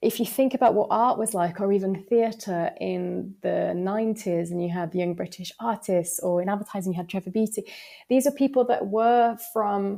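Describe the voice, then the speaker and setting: With a Yorkshire accent, a woman speaks at a moderate pace in a dark, mellow tone, her medium pitch moving with ordinary variation. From West Yorkshire, northern England. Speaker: advertising strategist. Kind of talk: podcast interview.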